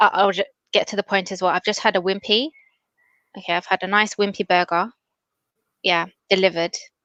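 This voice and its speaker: Mumbled at a very fast pace with long, frequent pauses, this voice has a bright, sharp tone, fairly even intonation, and a dry, close sound with no echo over a quiet background. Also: woman, medium pitch for a woman. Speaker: online show host. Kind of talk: live stream chat. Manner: mumbling.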